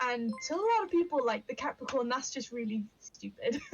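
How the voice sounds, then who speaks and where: A woman speaks loudly. Her pitch is high. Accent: Yorkshire. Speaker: witchcraft and astrology streamer. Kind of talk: casual chat. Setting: live stream.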